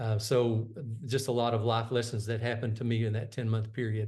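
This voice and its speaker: The man talks at a fairly quick pace. His pitch sits in the medium range. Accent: Texan. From Texas, High Plains. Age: 60s. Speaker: retired executive and coach. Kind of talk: interview. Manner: halting.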